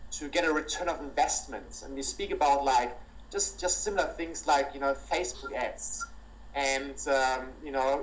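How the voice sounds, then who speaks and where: In a strong German accent, a man talks at a moderate pace, with audible room echo and noticeable background noise. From Germany, near Cologne. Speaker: entrepreneur and business speaker. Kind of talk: interview. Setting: call.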